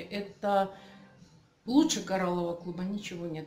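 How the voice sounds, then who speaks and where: A woman speaks at a moderate pace. There is audible room echo and light background noise. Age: 50s. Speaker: customer testimonial for a health product club. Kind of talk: testimony. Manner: animated. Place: office. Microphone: phone near.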